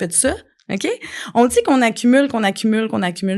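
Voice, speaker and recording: A woman talks at a fairly quick pace in a Quebec accent. Her pitch varies in an ordinary way against a quiet background. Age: 40s. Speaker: life coach and podcast host. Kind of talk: podcast monologue. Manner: animated.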